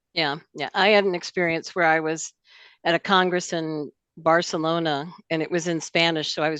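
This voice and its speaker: A woman with a normal speaking voice, fairly low in pitch, at a moderate pace, dry and close with no echo over a quiet background. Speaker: ophthalmologist. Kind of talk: panel discussion.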